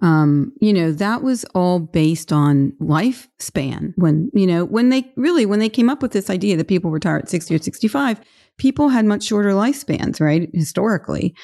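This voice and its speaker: A dark, mellow tone with very wide pitch swings, very even loudness, a moderate pace and hardly any pauses, on a very clean recording with a silent background. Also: woman, medium pitch for a woman. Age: 60s. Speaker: financial advisor. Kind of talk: interview. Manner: hesitant, many fillers.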